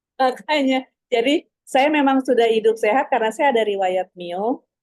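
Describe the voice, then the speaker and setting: At a moderate pace, a woman talks in a dark, mellow tone with lively intonation. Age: 70s. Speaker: doctor. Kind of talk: casual chat.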